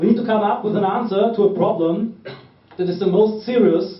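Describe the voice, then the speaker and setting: A man with a German accent at a fairly quick pace, ordinary pitch variation, and audible echo from the room. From Austria. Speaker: political activist. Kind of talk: political speech.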